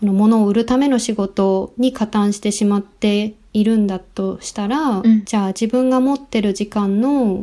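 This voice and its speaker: A woman with a dark, mellow tone and fairly high pitch speaks at a moderate pace with fairly even intonation and hardly any pauses. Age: 30s. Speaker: graphic designer and environmental activist. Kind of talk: casual interview chat. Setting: remote call from Denmark.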